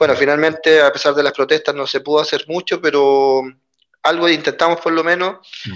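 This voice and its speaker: A man speaks at a fairly quick pace in a normal speaking voice. His pitch is fairly high, with fairly even intonation. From Chile. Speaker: trade unionist. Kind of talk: interview conversation.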